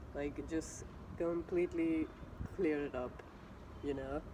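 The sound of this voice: Nasal and fairly high-pitched, a man speaks at a slow pace with ordinary pitch variation.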